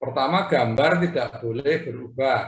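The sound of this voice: A man's fairly slow speech with ordinary pitch variation and audible room echo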